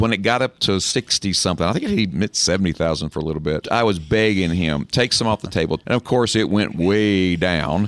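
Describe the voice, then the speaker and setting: A man speaks at a fairly quick pace. The sound is dry and close, with no echo. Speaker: financial advisor. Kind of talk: radio talk show.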